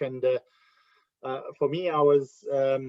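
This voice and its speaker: In a South African accent, a man speaks at a fairly high pitch with fairly even intonation. The recording is dry and close, with no echo. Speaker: ministry ambassador. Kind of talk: interview testimony. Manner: hesitant, many fillers.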